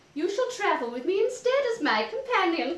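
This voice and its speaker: Doing a put-on character voice, a woman speaks squeaky and extremely high at a fairly quick pace, her warm tone sweeping through very wide pitch swings, with a slight echo. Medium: audio drama. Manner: warm, chatty.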